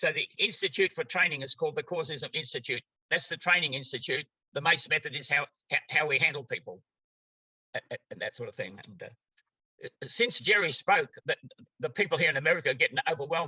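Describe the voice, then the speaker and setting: A man talks very fast with an Australian accent. His pitch varies in an ordinary way. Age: 90s. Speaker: therapy method trainer. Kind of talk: interview.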